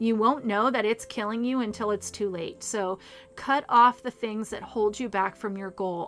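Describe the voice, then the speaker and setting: With music in the background, a woman talks at a moderate pace and a fairly high pitch with fairly even intonation. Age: 40s. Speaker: podcast host and author. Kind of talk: casual solo talk.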